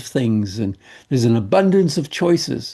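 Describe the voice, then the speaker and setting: Over a quiet background, the voice has a dark, mellow tone and moves at a moderate pace with very wide pitch swings. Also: man. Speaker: elderly Canadian nomad vlogger. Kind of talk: casual talk to camera.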